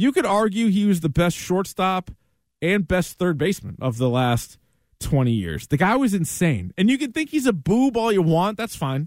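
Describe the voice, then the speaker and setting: At a moderate pace, a man with an American accent speaks at a high pitch, making very wide pitch swings. The sound is dry and close with no echo, on a very clean recording with a silent background. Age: 30s. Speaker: sports radio host. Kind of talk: sports talk monologue.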